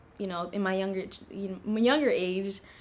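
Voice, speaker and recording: Fairly even intonation from a woman at a moderate pace, her voice medium in pitch. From US West, Las Vegas, Nevada. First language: Tigrinya. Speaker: university student, scholarship applicant. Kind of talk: interview. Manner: casual, many fillers.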